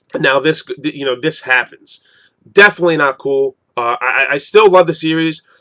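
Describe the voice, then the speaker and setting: Bright, sharp tone at a moderate pace, with a dry, close sound and no echo. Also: man. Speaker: manga reviewer. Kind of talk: casual video review. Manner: rambling with frequent fillers and repetitions.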